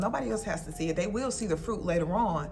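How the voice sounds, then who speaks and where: A woman's warm, fairly low voice with lively intonation, over noticeable background noise. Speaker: lifestyle vlogger. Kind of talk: casual talk to camera. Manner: warm, encouraging.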